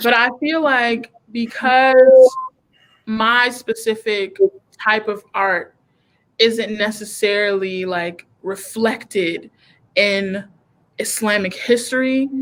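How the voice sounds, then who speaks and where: A woman speaks with a fairly high pitch and ordinary pitch variation. She goes at a very slow pace, with long, frequent pauses. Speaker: comedian. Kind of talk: casual chat. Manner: loud.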